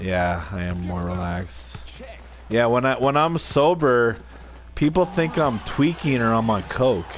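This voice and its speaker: Speaking at a fairly slow pace over noticeable background noise, a man with a fairly low pitch makes very wide pitch swings. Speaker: gaming livestreamer. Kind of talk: casual chat. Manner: rambling casual.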